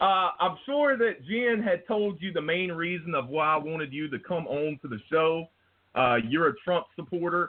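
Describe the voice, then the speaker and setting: In an American accent, a man with a high pitch speaks at a moderate pace with lively intonation. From US South. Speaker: podcast host. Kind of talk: interview.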